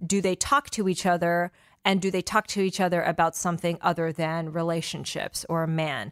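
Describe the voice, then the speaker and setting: Recorded very cleanly against a silent background, with a dry, close sound and no echo, a woman with an unremarkable speaking voice talks at a moderate pace, her fairly low pitch moving in fairly even intonation. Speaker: podcast host. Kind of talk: interview podcast conversation.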